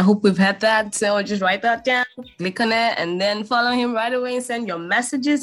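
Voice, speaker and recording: A woman speaks at a moderate pace in an animated, enthusiastic tone. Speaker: podcast host. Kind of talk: interview, upbeat podcast hosting.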